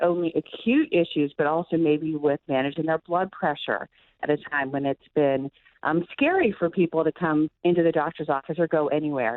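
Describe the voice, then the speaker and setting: A woman's very deep, low voice at a moderate pace. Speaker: physician, medical director of primary care. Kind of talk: radio interview answer about telehealth. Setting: morning radio show interview.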